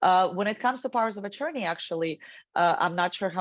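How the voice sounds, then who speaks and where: A woman with a non-native accent speaks at a fairly quick pace with lively intonation. The background is quiet. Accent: foreign accent, noticeable. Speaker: estate planning expert. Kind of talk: webinar presentation. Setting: video call.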